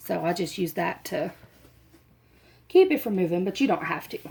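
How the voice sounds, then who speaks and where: On a very clean recording with a silent background, a soft-spoken woman talks at a moderate pace with medium pitch. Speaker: crafting tutorial creator. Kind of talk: tutorial. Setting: at home, dim room. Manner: soft, low-volume talking.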